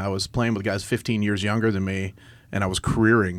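An unremarkable speaking voice moves at a fairly quick pace. Its intonation stays fairly even. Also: man. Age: 50s. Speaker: college baseball coach and business owner. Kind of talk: casual chat.

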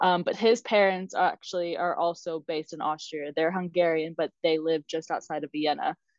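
Over a quiet background and in a dry, close sound with no echo, a woman with an American accent and an unremarkable speaking voice talks at a fairly quick pace, her pitch fairly low and her intonation fairly even. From US South, South Carolina. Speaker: travel blogger and digital nomad coach. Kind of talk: interview conversation. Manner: fast.

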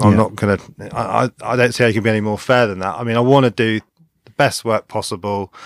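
A man with a plain, everyday voice and fairly low pitch speaks with fairly even intonation, the sound dry and close with no echo. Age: 30s. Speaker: independent car mechanic, workshop owner. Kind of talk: casual interview. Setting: studio, in person.

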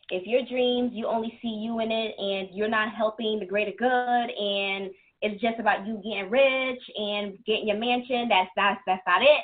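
A woman's ordinary speaking voice, fairly high in pitch, at a moderate pace with fairly even intonation. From New York City (Bronx, Queens) and New Jersey. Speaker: entrepreneur and author, former choreographer. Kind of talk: interview conversation.

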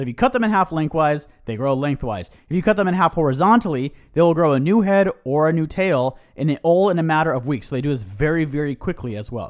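On a very clean recording with a silent background, a man with a fairly high pitch speaks at a very fast pace with lively intonation. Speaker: podcast host. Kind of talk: casual chat.

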